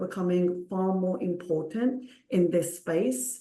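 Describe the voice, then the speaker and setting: A woman speaks at medium pitch with a Punjabi accent. Audible room echo surrounds her voice. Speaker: clinical research consultant. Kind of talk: panel discussion.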